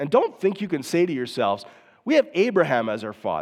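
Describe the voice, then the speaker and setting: A man with a fairly high pitch speaks at a moderate pace. His pitch swings very widely. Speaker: pastor. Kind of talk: sermon. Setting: church. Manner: hesitant, many fillers.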